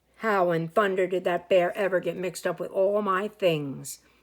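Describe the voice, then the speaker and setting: Putting on a character voice, a woman speaks with a raspy, medium-pitched sound, fairly even intonation and a moderate pace. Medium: read story. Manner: warm, musing.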